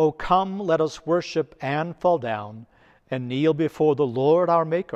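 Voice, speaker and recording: A solemn tone at a fairly slow pace, with ordinary pitch variation over a quiet background. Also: man. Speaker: priest. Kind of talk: liturgical prayer reading. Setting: church, recorded for online video. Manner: solemn, reverent, measured. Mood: solemn, devotional. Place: church.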